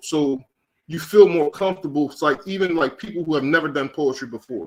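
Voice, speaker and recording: An American accent is heard. The one talking is a man. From Philadelphia, US. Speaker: poet and open mic organizer. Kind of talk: casual interview. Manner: fast.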